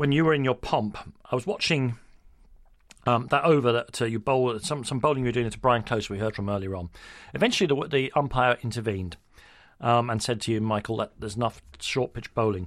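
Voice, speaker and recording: At a fairly quick pace, a man with a London accent talks at medium pitch with ordinary pitch variation, in a very clean recording with a silent background. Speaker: radio sports host. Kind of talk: interview.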